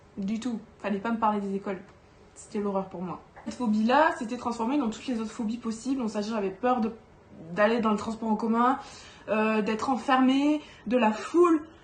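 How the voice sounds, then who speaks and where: There is noticeable background noise as a woman speaks with a fairly high pitch and ordinary pitch variation. She leaves long, frequent pauses. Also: fairly quick pace. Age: 20s. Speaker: doll collector YouTuber. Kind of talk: casual vlog monologue. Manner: hesitant, many fillers.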